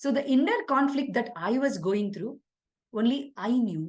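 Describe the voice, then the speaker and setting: Speaking fairly slowly, a woman with a fairly high pitch shows vocal fry. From India. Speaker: executive leadership coach. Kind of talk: webinar talk.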